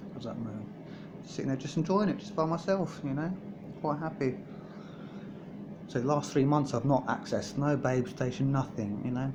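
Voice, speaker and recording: Over audible room echo, a man with a fairly high pitch and a somewhat breathy voice speaks at a moderate pace with ordinary pitch variation, leaving long, frequent pauses. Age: 30s. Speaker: vlogger. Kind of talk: personal video diary. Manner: halting, repetitive.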